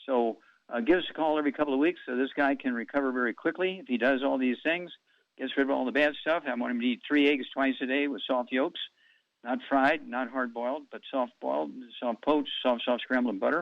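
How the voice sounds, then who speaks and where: A man talks in a plain, everyday voice at medium pitch. His pace is fairly quick and his intonation fairly even. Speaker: alternative health radio host. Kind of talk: radio show answering callers' health questions.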